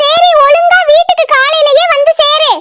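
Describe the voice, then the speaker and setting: A cartoonish character voice squeaks with very wide pitch swings at a fairly slow pace. The sound is dry and close, with no echo. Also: woman, extremely high pitch for a woman. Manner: scolding, quick, nagging.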